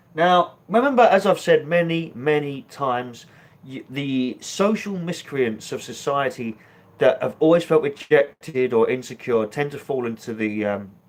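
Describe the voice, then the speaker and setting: A man speaks with a British accent at a moderate pace. His pitch is fairly high, and his intonation is lively. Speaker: political commentary vlogger. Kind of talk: online commentary. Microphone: poor connection.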